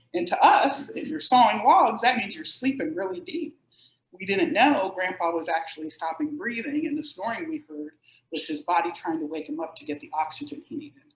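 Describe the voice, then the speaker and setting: A woman talks at a fairly quick pace with vocal fry. Her pitch swings very widely and her loudness shifts a lot. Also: fairly high pitch for a woman. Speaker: sleep medicine expert. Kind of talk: educational talk. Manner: animated.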